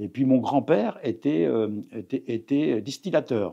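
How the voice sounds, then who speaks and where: A man talks at a very slow pace, his tone dark and mellow. His pitch rises and falls in an ordinary way. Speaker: retired cooperative executive. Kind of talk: interview. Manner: halting.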